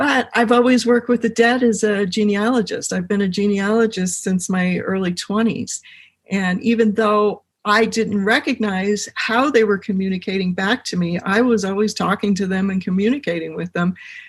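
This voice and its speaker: At a moderate pace, a woman with an American accent speaks in a somewhat breathy voice of medium pitch, her intonation fairly even. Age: 60s. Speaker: genealogist and medium. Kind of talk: podcast interview.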